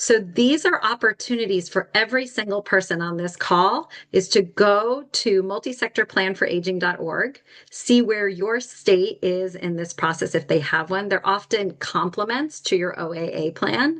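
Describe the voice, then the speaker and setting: Against a quiet background, a woman speaks in a normal speaking voice at medium pitch, with ordinary pitch variation and hardly any pauses. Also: moderate pace. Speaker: nonprofit executive director presenting a policy brief. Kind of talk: webinar presentation.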